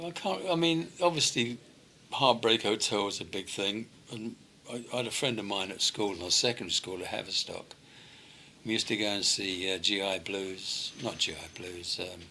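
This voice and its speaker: A man speaks at a moderate pace in a fairly low voice, his tone bright and sharp and his intonation lively. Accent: London. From London (West Hampstead), England. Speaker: retired rock and roll singer. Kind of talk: interview.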